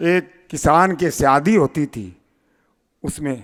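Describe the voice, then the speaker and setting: A man's fairly high voice has a bright, sharp tone and ordinary pitch variation in a very clean recording with a silent background. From Rajasthan, Shekhawati region. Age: 80s+. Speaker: community leader. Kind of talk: public speech.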